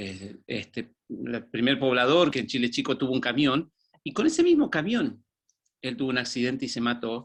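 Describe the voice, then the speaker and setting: Pitched fairly high, a man with a normal speaking voice keeps to a moderate pace. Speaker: former pastor. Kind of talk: testimony.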